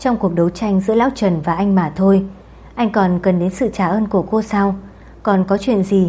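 Plain reading aloud with fairly even intonation

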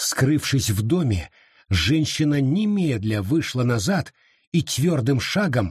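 The intonation rises and falls in a lively way. It comes in an unforced reading voice.

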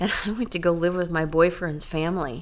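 Audible room echo surrounds a woman with an American accent and a fairly low pitch. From Iowa, then Florida from age 10. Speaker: church member sharing her faith story. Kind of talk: testimony. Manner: halting.

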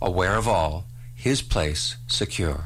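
Vocal fry runs through this man's voice as his pitch swings very widely. He has a Canadian accent, and audible room echo surrounds him. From Ontario, Canada (Port Dalhousie). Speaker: poet. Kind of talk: poetry reading. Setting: radio studio.

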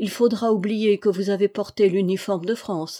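Intonation stays fairly even in an unforced reading voice.

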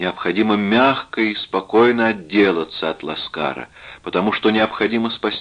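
The passage is read aloud in a natural voice, its intonation holding fairly level.

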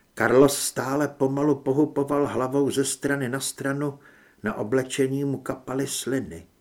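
What's heard here is a plain read-aloud passage.

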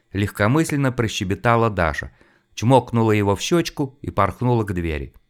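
A natural voice reads the text.

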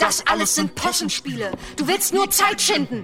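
A put-on character voice with a bright, sharp tone, big pitch swings and a moderate pace, faint music in the background. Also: man, extremely high pitch for a man.

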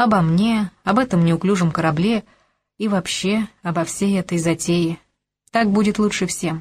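Plain reading aloud with ordinary pitch variation is heard against a quiet background.

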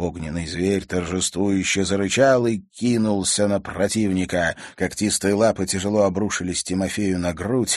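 The voice is a natural reading voice. It carries on from start to finish.

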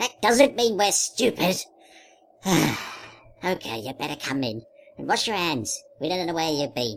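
Someone uses a put-on character voice at a middle pitch and a moderate pace, with very wide pitch swings. Long pauses come often. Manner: grumpy, scolding.

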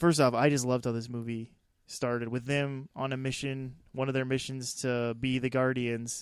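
Here a man speaks at a fairly slow pace. His intonation is monotone and flat. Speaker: movie podcast host. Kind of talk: casual movie review chat.

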